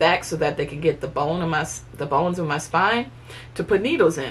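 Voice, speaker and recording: A woman with an ordinary speaking voice, at a fairly quick pace with ordinary pitch variation. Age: 30s. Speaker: vlogger. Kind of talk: casual chat. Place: home room. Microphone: camera far.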